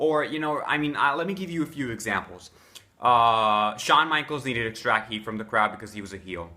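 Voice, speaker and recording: An unremarkable speaking voice belongs to a man at medium pitch. He talks at a fairly quick pace with lively intonation. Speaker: wrestling fan giving promo advice. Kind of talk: casual talk to camera, instructional. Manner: conversational, explanatory, with filler words.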